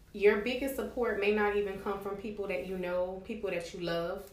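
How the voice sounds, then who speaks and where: The speaker has an American accent and a moderate pace. Audible room echo surrounds the voice. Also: woman. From Miami, Florida. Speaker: travel agent and entrepreneur. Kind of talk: interview.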